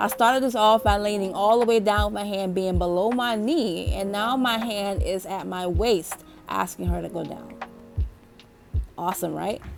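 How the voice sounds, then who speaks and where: A woman talks at a moderate pace with a medium pitch. There is music in the background, and her pitch varies in an ordinary way. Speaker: dog trainer. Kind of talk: tutorial. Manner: casual, addresses viewers as y'all.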